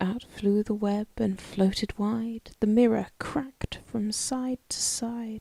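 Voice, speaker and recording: A woman's slow, soft-spoken whisper, somewhat breathy and soothing in tone, in a dry, close sound with no echo. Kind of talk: whispered poetry reading. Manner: whispered, soft-spoken, soothing.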